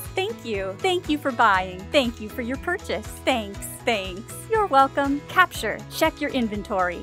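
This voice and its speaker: Over music in the background, a woman speaks in an energetic tone at a fairly slow pace. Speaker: voice actor. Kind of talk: game announcer lines. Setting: studio. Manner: energetic, positive.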